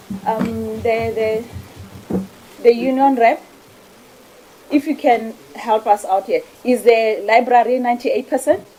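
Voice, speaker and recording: Noticeable background noise sits behind a woman with a fairly high voice. She talks at a fairly slow pace with fairly even intonation and long, frequent pauses. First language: not English (Setswana/Sepedi). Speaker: parliamentary committee member. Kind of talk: parliamentary oversight questioning. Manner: assertive, interrupting.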